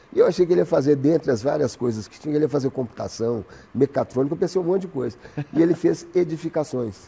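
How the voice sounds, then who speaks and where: A very fast male voice, fairly high-pitched yet dark and mellow in tone, with vocal fry and big swings in loudness. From Belo Horizonte, Brazil. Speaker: actor. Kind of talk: interview answer.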